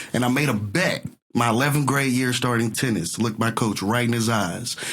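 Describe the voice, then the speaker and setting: A man's voice holds a medium pitch. He speaks at a moderate pace. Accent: slight Southern US. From US South (Texas and Mississippi). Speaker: entertainer. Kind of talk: casual interview chat.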